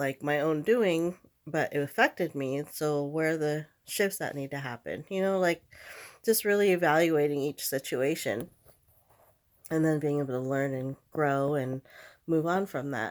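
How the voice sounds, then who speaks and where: Over a very clean recording with a silent background, a woman speaks at a moderate pace with a very deep, low pitch and ordinary pitch variation. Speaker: vlogger sharing personal encouragement. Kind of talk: casual vlog monologue. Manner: halting, stuttering; filler-heavy, many likes and ums.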